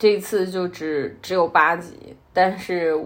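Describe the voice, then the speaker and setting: A woman speaks in a medium pitch. Her pitch variation is ordinary. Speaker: podcast host. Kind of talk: solo casual monologue.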